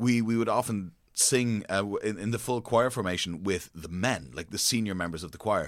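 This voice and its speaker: A man with a plain, everyday voice speaks at a fairly low pitch and a moderate pace, using lively intonation. The recording is very clean, with a silent background. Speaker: podcast co-host. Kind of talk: casual educational chat.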